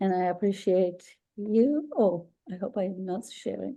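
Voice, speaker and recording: A woman speaks at a fairly slow pace with a strong Persian accent, her tone dark and mellow. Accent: thick Persian. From Iran. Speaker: Medicare insurance agent. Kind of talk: webinar presentation.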